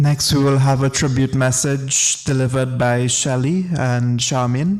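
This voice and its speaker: A man speaks at a fairly slow pace with a Trinidadian accent, his loudness very even and his intonation fairly even, over noticeable background noise. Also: medium pitch for a man. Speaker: funeral master of ceremonies. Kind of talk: funeral program announcements.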